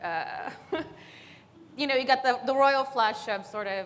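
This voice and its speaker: A woman speaks with a Californian accent and lively intonation. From East Los Angeles, California. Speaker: comedian. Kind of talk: panel discussion.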